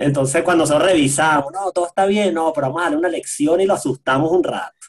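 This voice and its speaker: A man speaks in a high pitch with a Venezuelan accent. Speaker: sound engineer and musician. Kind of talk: casual chat.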